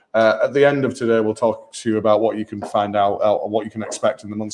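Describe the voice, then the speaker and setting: A man talks very fast. His intonation is flat and monotone. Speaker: brewery host presenting beer tasting. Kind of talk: live beer tasting chat. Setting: pub room with live audience, livestreamed. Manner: loud.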